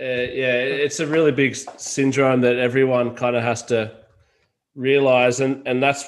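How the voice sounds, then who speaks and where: A man with an Australian accent speaks at a moderate pace and medium pitch. His intonation is monotone and flat. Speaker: podcast host. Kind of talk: casual interview chat.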